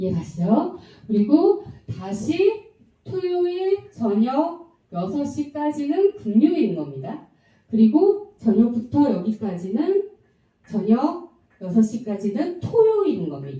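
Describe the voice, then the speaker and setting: Amid audible room echo, a woman with a fairly high pitch and a dark, mellow tone speaks at a very slow pace, her pitch swinging very widely. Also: big swings in loudness. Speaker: Bible prophecy teacher. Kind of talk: Bible lecture.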